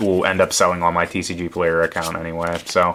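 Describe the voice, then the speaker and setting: This voice belongs to a man. His pitch is very deep and low. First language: not English. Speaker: card game content creator. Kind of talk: unboxing commentary. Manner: casual, filler-heavy.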